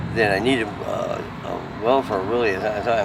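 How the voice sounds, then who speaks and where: A man speaks in a monotone with flat intonation. Noticeable background noise runs under his voice. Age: 60s. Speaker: homeless man. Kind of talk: street interview. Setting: outdoors on the street. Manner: halting, many fillers and repeats.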